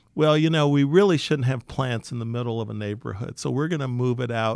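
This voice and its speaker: Speaking with an American accent, a man keeps a medium pitch. His pace is fairly quick. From Detroit, Michigan (west side). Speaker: real estate investment CEO. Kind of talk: interview. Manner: halting, many fillers and restarts.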